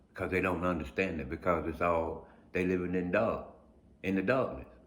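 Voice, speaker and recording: A man talks at a moderate pace. The room echo is audible. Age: 50s. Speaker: blind video blogger. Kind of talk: casual monologue. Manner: halting, repeats words.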